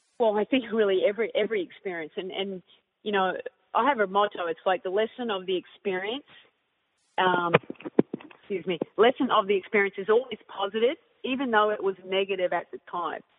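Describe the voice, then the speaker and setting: A woman with an Australian accent and a medium pitch talks at a fairly quick pace, with ordinary pitch variation and long, frequent pauses. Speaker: basketball coach.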